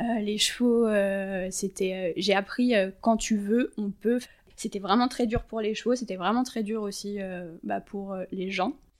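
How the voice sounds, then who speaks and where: At a very slow pace, a woman speaks with fairly even intonation. Her pitch is medium. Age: 30s. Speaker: equine and canine massage therapist. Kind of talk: casual interview.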